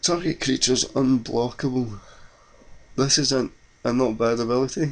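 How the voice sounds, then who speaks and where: With a Scottish accent, a man speaks at a moderate pace. His loudness stays very even, with ordinary pitch variation. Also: medium pitch for a man. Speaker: card game video creator. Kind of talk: gameplay commentary.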